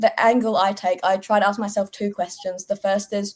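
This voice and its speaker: A woman in a British accent at medium pitch, monotone and flat, at a fairly quick pace. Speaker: political content creator. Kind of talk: casual panel discussion.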